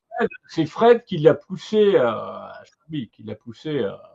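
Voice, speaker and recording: A man's dark, mellow tone at a very slow pace, dry and close with no echo. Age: 40s. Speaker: web TV interviewer. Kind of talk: interview.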